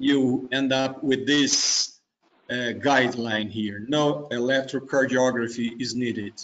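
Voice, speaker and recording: In a Brazilian accent, a man speaks. His pace is very slow. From southern Brazil, Curitiba. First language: Portuguese. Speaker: cardiologist. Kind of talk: case presentation. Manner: halting, many fillers.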